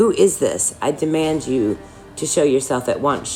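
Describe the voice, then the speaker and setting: Over clear background music, a raspy put-on character voice moves at a moderate pace with lively intonation. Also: woman, very deep, low pitch for a woman. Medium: read story. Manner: shaky but defiant.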